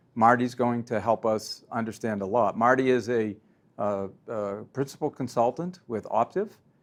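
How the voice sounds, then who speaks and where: A man with a Boston accent speaks with ordinary pitch variation. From Boston, US. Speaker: company president and interviewer. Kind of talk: interview. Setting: conference event.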